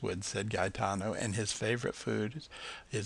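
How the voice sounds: A natural reading voice, its intonation fairly level throughout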